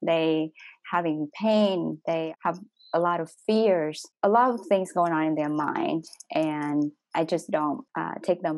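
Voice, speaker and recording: A woman speaks in a Vietnamese accent. Her pitch is fairly low. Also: very clean recording, silent background. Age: young. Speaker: doctor. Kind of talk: panel discussion. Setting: workshop.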